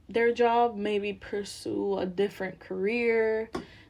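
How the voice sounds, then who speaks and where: Speaking in a Spanish accent, a woman of medium pitch goes at a very slow pace with fairly even intonation. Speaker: student. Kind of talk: class presentation. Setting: at home with child nearby.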